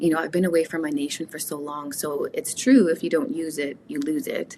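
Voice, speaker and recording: Speaking in a Canadian accent, a woman with a very deep, low voice keeps a moderate pace and ordinary pitch variation. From Canada, Woodland Cree reserve community. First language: Cree. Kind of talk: interview conversation.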